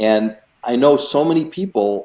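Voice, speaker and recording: This man has a dark, mellow tone and lively intonation, and he talks with an American accent. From US Midwest, Chicago area. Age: 60s. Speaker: real estate investor. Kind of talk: interview.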